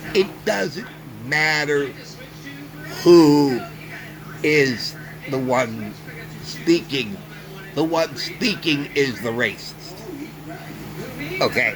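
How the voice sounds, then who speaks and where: A very slow, fairly high-pitched man with an American accent and ordinary pitch variation, long frequent pauses, and noticeable background noise. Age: 60s. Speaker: vlogger. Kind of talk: opinion monologue. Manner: emphatic.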